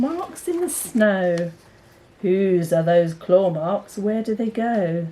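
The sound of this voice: This woman's voice sits at a medium pitch. Her tone is dark and mellow.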